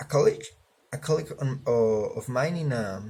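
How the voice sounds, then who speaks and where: Somewhat breathy and dark, mellow in tone, a man speaks at a fairly high pitch with a Spanish accent. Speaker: student. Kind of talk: class assignment video presentation. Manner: casual, halting with fillers.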